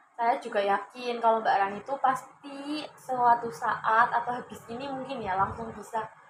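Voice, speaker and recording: A woman in an ordinary speaking voice, at a fairly slow pace, with fairly even intonation. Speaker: counseling student acting as counselor. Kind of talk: counseling session role-play. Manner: warm, encouraging.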